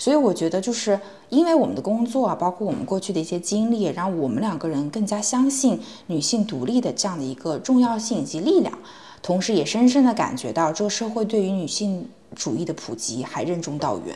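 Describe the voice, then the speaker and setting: Over noticeable background noise, a woman speaks at a fairly quick pace. Her medium-pitched voice swings very widely in pitch. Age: 20s. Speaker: podcast co-host, tech company HR. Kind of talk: casual chat.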